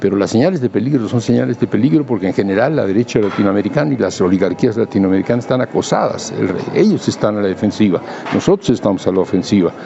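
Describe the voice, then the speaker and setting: A man talks at a very fast pace with hardly any pauses, keeping his loudness very even while his intonation stays lively over noticeable background noise. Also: fairly low pitch for a man. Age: 80s+. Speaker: philosopher and writer. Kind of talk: interview conversation. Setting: book fair. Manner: hesitant, many fillers.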